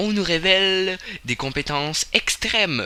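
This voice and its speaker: Noticeable background noise sits behind a man who speaks at a very slow pace. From Quebec. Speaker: gaming youtuber. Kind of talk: video game commentary. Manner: halting. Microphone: slight crackle noise from the microphone.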